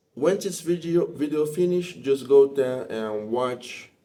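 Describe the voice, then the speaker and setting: Speaking with a Portuguese accent, a man uses lively intonation and a dark, mellow tone. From Brazil. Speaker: spiritual practitioner and teacher. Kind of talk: explanatory talk to camera. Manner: halting.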